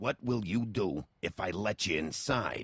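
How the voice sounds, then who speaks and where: In a growling put-on character voice, a man speaks at a fairly slow pace with a fairly low pitch. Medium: video game. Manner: blunt, suspicious, intimidating.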